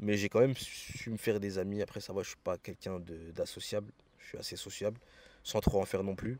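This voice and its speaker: With a dark, mellow tone, a man talks at a fairly low pitch. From France. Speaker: expatriate sharing experience. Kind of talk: casual interview. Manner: casual, hesitant with many fillers.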